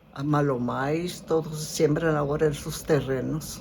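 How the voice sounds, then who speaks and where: A woman talks at a very slow pace. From Arizona, Picacho and Eloy (Yaqui community). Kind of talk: interview. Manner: halting.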